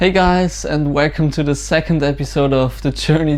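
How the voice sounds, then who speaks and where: A man with a German accent at a moderate pace, over noticeable background noise. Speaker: small business owner, vlogger. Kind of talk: casual vlog walkthrough. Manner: hesitant, many fillers.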